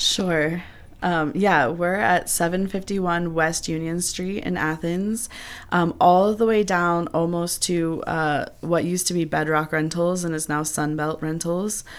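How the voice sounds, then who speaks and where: In a plain, everyday voice, a woman with an American accent speaks at a fairly slow pace, her fairly low pitch held to a fairly even intonation. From Columbus, Ohio. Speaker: manager of a nonprofit reuse center. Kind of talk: radio interview. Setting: radio studio.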